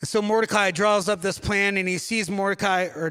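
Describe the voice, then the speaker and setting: A man with a high pitch speaks in a raised, projected voice with a bright, sharp tone. The recording is very clean, and the background is silent. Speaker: pastor. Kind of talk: sermon. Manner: mumbling.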